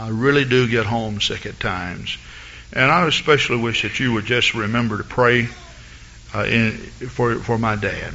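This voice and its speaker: A man speaks at a medium pitch with a slight Southern US accent and fairly even intonation. Noticeable background noise sits behind him. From US South, east Texas. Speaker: pastor. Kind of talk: sermon. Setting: church.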